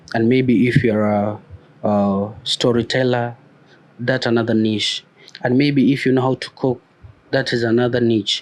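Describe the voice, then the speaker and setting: Over noticeable background noise, a man talks in a monotone, flat way. His pitch is medium, and he takes long, frequent pauses. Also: fairly slow pace, very even loudness. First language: a non-English mother tongue. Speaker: YouTube growth coach. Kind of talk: motivational talk to camera. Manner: hesitant with fillers and repetitions.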